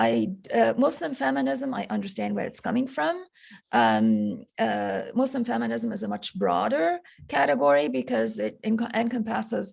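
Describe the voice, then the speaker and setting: A woman with an Arabic accent speaks at a moderate pace. Her very deep, low pitch makes very wide swings. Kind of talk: interview. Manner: halting, many fillers.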